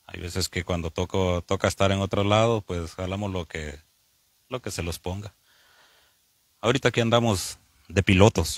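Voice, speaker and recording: A man speaks at a moderate pace in a very deep, low pitch with fairly even intonation. The sound is dry and close with no echo, in a very clean recording with a silent background. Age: 40s. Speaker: truck driver. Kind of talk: interview. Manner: halting.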